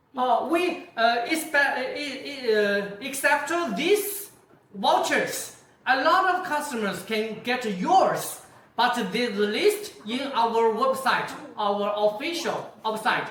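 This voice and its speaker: A woman speaks at a very slow pace with a high pitch and very wide pitch swings. Room echo is audible. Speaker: company sales representative. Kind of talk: product launch livestream. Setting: video call.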